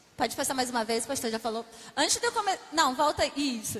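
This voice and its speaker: A woman at a fairly quick pace with a Rio de Janeiro accent, against noticeable background noise. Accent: Rio de Janeiro (carioca). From Brazil, Rio de Janeiro. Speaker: missionary. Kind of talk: testimony. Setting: church.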